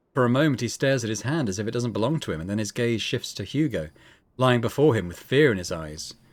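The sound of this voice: The clip has an unforced reading voice with lively intonation.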